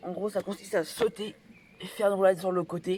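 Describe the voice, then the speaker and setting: A man is speaking. His pace is fairly quick. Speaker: parkour youtuber. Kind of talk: tutorial. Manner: fast.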